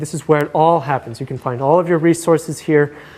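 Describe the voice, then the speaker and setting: A fairly high-pitched man talks at a fairly quick pace with ordinary pitch variation. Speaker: university lecturer. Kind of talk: lecture. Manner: fast; hesitant, many fillers.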